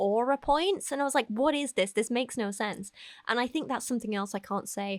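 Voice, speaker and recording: At a fairly quick pace, a woman with an ordinary speaking voice shows ordinary pitch variation, in a dry, close sound with no echo on a very clean recording with a silent background. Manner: casual, rambling, self-deprecating.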